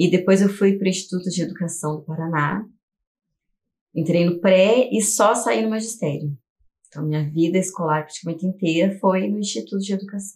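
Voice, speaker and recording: A somewhat breathy woman at medium pitch, with ordinary pitch variation and a moderate pace. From Curitiba, southern Brazil. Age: 40s. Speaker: teacher and artist. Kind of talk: documentary interview.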